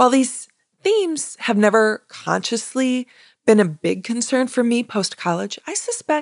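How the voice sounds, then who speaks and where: A woman's plain, everyday voice, fairly high in pitch with lively intonation, in a dry, close sound with no echo. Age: 40s. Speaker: podcast host and career coach. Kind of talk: solo podcast monologue.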